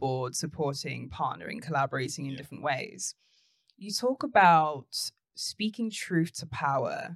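In a London accent, a woman speaks at a moderate pace with a very deep, low pitch and ordinary pitch variation. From North London. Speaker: podcast host, business CEO. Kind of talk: interview.

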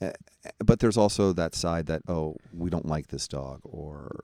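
A man's very deep, low voice with a dark, mellow tone, vocal fry and ordinary pitch variation. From New York. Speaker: podcast co-host and youth sports coach. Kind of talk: casual chat.

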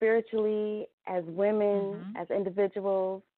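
A woman with a medium-pitched voice talks at a very slow pace. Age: 40s. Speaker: podcast co-host. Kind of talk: casual interview.

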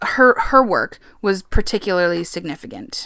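Loud and with a bright, sharp tone, a woman speaks at a fairly slow pace on a very clean recording with a silent background. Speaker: podcast co-host. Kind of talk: casual chat with storytelling.

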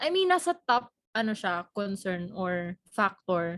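Her pitch is medium. The woman talks at a very slow pace. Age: 20s. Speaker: podcast co-host. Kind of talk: casual chat.

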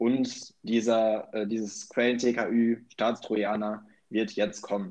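Very slowly, a man speaks at a medium pitch with a monotone, flat intonation. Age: 20s. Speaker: student podcast co-host. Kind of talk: casual political discussion. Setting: remote recording.

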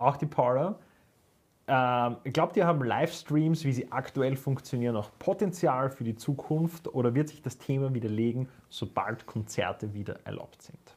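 Somewhat breathy and at a moderate pace, a man with a medium pitch and ordinary pitch variation shows big swings in loudness on a very clean recording with a silent background. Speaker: metal podcast co-host, musician. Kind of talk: casual chat.

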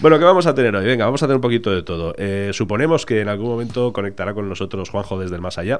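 Talking at a very fast pace with hardly any pauses, a man uses lively intonation at a fairly low pitch. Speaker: podcast host. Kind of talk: casual chat. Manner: animated.

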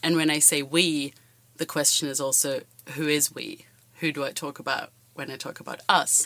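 A woman with a very deep, low pitch and a bright, sharp tone speaks at a moderate pace in a monotone, flat way. The recording is very clean, with a silent background. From Germany. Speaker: student podcaster. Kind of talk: casual academic discussion.

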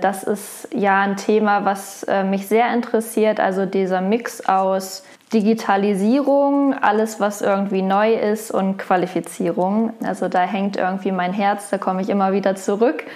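Against noticeable background noise, a woman at a medium pitch speaks at a fairly slow pace, with very even loudness, fairly even intonation and hardly any pauses. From Lower Saxony, Germany (Wolfsburg). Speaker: HR innovation specialist. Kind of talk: interview. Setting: in person.

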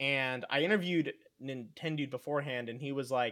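A man's fairly high-pitched voice. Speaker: esports commentator. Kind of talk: casual chat. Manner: animated, loud hype.

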